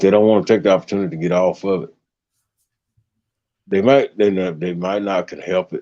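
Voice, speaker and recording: A man talks at a fairly quick pace with long, frequent pauses and big swings in loudness. His fairly low voice is dark and mellow, with fairly even intonation and a dry, close sound with no echo. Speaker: live streamer. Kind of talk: casual chat.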